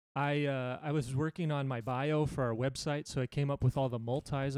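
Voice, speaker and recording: A fairly high-pitched man with an American accent, fairly quick, in a monotone, flat delivery, with a dry, close sound and no echo. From California, US West Coast. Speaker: podcast host. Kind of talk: casual chat.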